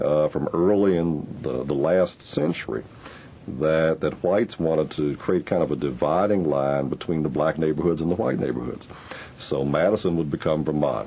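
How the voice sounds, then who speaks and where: Against noticeable background noise, a man speaks in a very deep, low voice. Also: ordinary pitch variation, moderate pace. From Louisville, Kentucky. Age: 50s. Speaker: oral history interviewee. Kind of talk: oral history interview.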